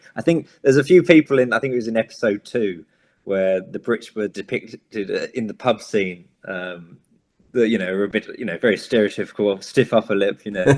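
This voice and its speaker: A man with a London accent speaks at a fairly quick pace in a fairly low pitch, with ordinary pitch variation and a dry, close sound with no echo. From Southeast London. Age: 20s. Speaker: actor. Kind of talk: interview. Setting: video call.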